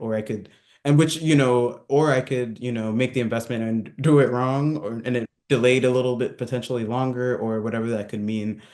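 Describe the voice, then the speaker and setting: Very fast male speech with an American accent, medium pitch, and fairly even intonation. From Southern California. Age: 30s. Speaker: entrepreneur. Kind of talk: interview. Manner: casual, hesitant with many fillers.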